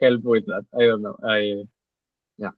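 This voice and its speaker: The voice is bright and sharp in tone, with monotone, flat intonation. The sound is dry and close, with no echo. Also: man. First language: not English. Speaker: machine learning engineer, course alumnus. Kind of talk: webinar Q&A. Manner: halting.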